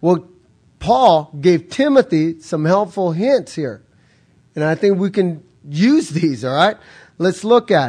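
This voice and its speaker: A man speaks very slowly in a high voice, with lively intonation and long, frequent pauses. The background is quiet. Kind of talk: sermon. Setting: church. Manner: impassioned, emphatic, repeating key lines for punch; urgent, exhorting, direct appeal to the congregation.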